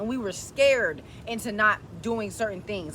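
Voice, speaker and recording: With vocal fry and a bright, sharp tone, a woman speaks in an animated tone with lively intonation. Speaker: self-help video creator. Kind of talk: motivational talk to camera. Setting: at home. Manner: fast.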